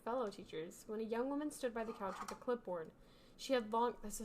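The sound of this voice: This is an unforced reading voice. It is the voice heard throughout.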